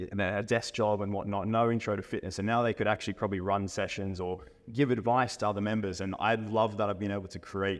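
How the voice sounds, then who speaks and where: In an Australian accent, a man rattles along at a very fast pace with hardly any pauses, his fairly low voice flat and monotone over a quiet background. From Australia, Brisbane. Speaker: fitness coach. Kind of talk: podcast interview.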